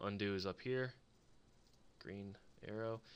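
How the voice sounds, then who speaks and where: Against a quiet background, a man mumbles at a moderate pace with a fairly low pitch and fairly even intonation. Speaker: embroidery digitizer, video creator. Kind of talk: screen-recorded tutorial. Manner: mumbling; casual, thinking aloud.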